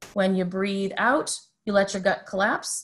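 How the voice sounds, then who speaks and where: A woman with a medium-pitched voice speaks while music plays in the background. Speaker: mental health counselor. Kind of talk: webinar talk. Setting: video call.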